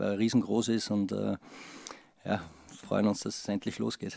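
Over a quiet background, a man with an Austrian accent speaks in a fairly low voice. His tone is dark and mellow, and his intonation is monotone and flat. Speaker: football assistant coach. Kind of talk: press conference. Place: meeting room. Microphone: podium.

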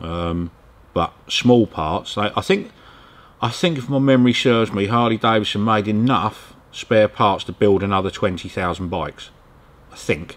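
At a fairly slow pace, a man talks in a fairly low voice. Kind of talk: interview answer. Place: workshop.

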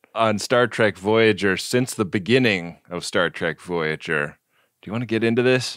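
On a very clean recording with a silent background, a man with a normal speaking voice talks in a fairly low pitch with ordinary pitch variation at a moderate pace. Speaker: podcast co-host. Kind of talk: casual chat.

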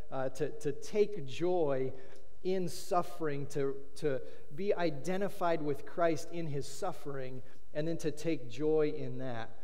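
A man talks at a fairly slow pace. His pitch varies in an ordinary way. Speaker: pastor. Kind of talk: sermon. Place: church.

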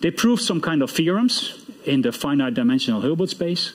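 A man with a Dutch accent talks at a fairly quick pace and a fairly high pitch, with very wide pitch swings. The background is quiet. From Netherlands. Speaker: computer science professor; professor giving closing lecture. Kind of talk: lecture. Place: hall.

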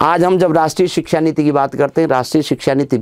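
The background is quiet. A man speaks with a fairly high pitch. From Uttarakhand, Chamoli district (Garhwal); Uttarakhand, India. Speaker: education official and teacher trainer; teacher trainer. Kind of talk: monologue life story. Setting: studio. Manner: formal. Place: studio. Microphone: lapel.

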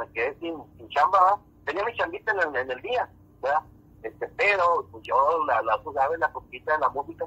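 A man talking at a fairly quick pace with big swings in loudness, in a dry, close sound with no echo. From northern Mexico. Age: 40s. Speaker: musician. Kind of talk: casual chat. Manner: halting.

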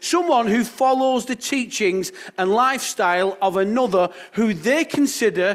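In a quiet background, a man talks at a fairly slow pace with lively intonation. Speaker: pastor. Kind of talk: sermon. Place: church. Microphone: headset.

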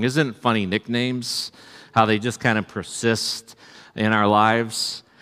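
Over a quiet background, a man talks at a fairly slow pace. His fairly low voice has a bright, sharp tone. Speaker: pastor. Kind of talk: sermon. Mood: warm, anecdotal. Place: church.

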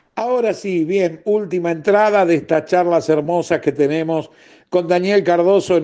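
Moderate in pace, the speech has a dark, mellow tone and ordinary pitch variation. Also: man. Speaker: radio host. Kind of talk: radio interview. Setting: radio studio. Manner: animated.

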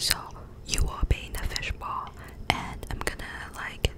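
Someone soft-spoken whispers at a moderate pace. Loud background noise fills the recording. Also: woman. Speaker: ASMR creator. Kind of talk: ASMR soft spoken chat. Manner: close soft ASMR whisper. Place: home room. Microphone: studio mic.

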